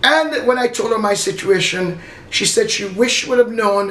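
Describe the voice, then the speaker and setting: Moderate pace over noticeable background noise. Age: 60s. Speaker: martial arts instructor and health product distributor. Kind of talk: testimony. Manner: unscripted, slurring at times.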